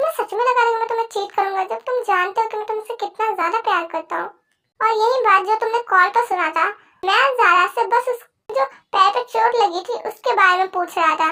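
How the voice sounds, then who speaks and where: The voice is a put-on character voice pitched extremely high. It moves at a fairly quick pace. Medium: read story. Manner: patient, earnest.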